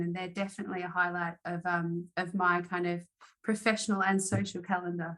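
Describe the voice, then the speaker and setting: Bright and sharp, a woman's medium-pitched voice comes in an Australian accent. She moves at a fairly quick pace. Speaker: arbitration lawyer. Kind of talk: interview.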